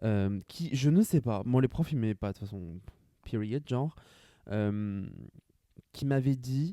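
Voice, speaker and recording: A man with a dark, mellow tone swings his pitch very widely, the sound dry and close with no echo on a very clean recording with a silent background. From France, Grand Est (rural village). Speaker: podcaster. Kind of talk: casual solo monologue. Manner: fast.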